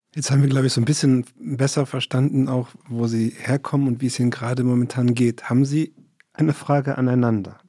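Monotone and flat, a man talks at a fairly quick pace with a medium pitch and a dark, mellow tone. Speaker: podcast host. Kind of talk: moderated interview. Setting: studio.

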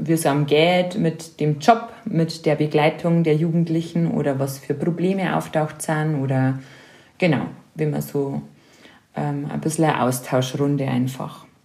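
A woman with a very deep, low pitch and a dark, mellow tone, very slow, with ordinary pitch variation. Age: 30s. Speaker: volunteer youth spiritual guide. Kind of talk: casual interview. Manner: hesitant, frequent fillers.

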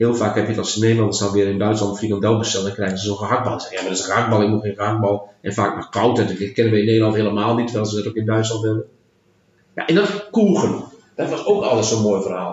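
This man talks at a very fast pace in a monotone, flat intonation, his pitch fairly low. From Netherlands, Twente (Enschede area). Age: 50s. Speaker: leisure park general manager. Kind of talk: bilingual interview, casual. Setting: in person. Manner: halting, many hesitations.

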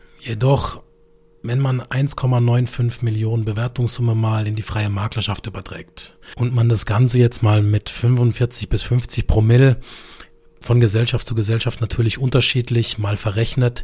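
A man with a Baden accent speaks at a medium pitch in a monotone, flat delivery. Noticeable background noise runs under his voice. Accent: regional Baden dialect, noticeable. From Karlsruhe, southern Germany. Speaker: insurance broker podcast host. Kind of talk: monologue storytelling.

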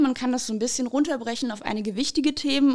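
Fairly high in pitch with ordinary variation, a woman speaks in an unremarkable speaking voice. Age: 30s. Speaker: couples counselor. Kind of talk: podcast interview.

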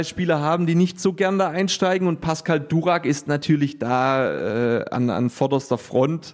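A man's high-pitched voice at a moderate pace, with hardly any pauses, very even loudness, ordinary pitch variation and a quiet background. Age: 30s. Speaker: handball coach and teacher. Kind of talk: interview. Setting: sports hall. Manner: halting, many fillers.

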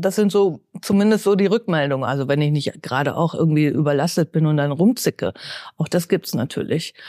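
In a very clean recording with a silent background and a dry, close sound with no echo, a woman speaks at a moderate pace with very wide pitch swings. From Bielefeld, eastern Westphalia. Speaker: head of a welfare association. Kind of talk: interview.

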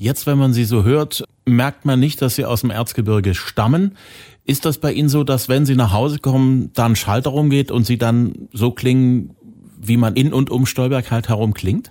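A man with a dark, mellow tone speaks at a medium pitch and moderate pace, with ordinary pitch variation. His loudness stays very even, and the recording is very clean with a silent background. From Saxony. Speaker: podcast host. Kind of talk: interview conversation.

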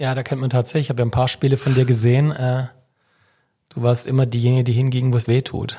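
This man speaks very fast at a medium pitch, his tone dark and mellow, somewhat breathy, and his intonation flat and monotone. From Württemberg, Swabia (Vaihingen/Enz area). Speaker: sports official, former sports journalist. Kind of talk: casual chat.

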